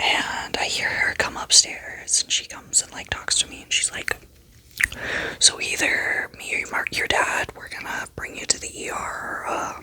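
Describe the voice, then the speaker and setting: Whispering comes through beneath noticeable background noise. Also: moderate pace. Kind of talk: ASMR story time vlog. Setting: at home in bed. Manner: whispered.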